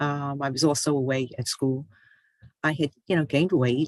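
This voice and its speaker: A woman's voice is captured with a dry, close sound and no echo. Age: 60s. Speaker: author and health speaker. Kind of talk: personal testimony talk. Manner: hesitant with many fillers.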